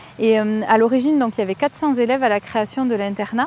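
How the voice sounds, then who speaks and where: Speaking fairly quickly with a southwestern French accent, a woman uses a fairly high pitch and ordinary pitch variation over noticeable background noise. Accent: southwest French. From southwest France. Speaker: specialised schoolteacher. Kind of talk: casual interview talk. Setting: outdoors in school grounds.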